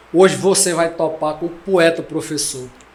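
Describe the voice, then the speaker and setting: Speaking with a Pernambuco accent, a man talks at a fairly slow pace. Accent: Northeastern Brazilian, Pernambuco sertão. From São José do Egito, Pernambuco. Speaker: poet and declaimer. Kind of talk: casual podcast conversation, storytelling.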